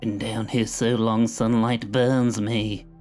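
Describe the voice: Putting on a character voice, a man speaks at a medium pitch and fairly slow pace over clear background noise.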